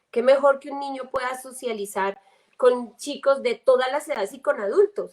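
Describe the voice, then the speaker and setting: The speaker is a woman with a high pitch. Her loudness swings widely. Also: ordinary pitch variation, moderate pace. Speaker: homeschooling mother. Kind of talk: live panel talk. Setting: livestream.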